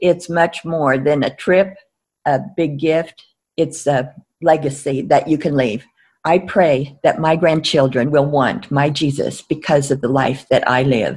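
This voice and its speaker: A woman speaks at a fairly slow pace with a very deep, low pitch and ordinary pitch variation. The recording is very clean, with a silent background. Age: 80s. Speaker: prayer ministry leader and author. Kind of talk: interview, conversational. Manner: conversational, hesitant with fillers.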